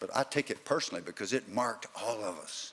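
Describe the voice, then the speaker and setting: A man's medium-pitched voice in a Southern US accent. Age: 70s. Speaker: former football player and keynote speaker. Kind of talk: keynote speech.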